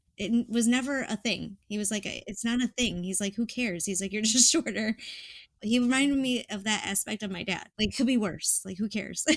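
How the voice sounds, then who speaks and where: Speaking at a fairly quick pace, a woman has a somewhat breathy, fairly high voice with ordinary pitch variation. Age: 40s. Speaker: patient sharing experience. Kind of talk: interview testimony. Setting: podcast. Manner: casual, frequent filler words.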